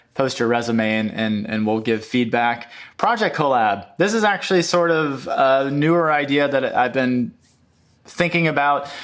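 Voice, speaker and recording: At a moderate pace, a man with a fairly high voice mumbles at a very even loudness in a very clean recording with a silent background. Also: lively intonation. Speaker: YouTuber on UX design. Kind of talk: casual screen-share walkthrough. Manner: hesitant, many fillers; mumbling.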